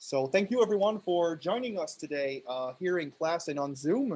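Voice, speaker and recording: Against a quiet background, a man with a French Canadian accent speaks with lively intonation. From Quebec, Canada (Montreal). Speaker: PhD student presenting a workshop. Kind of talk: workshop lecture. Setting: classroom, streamed on Zoom. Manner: hesitant, many fillers.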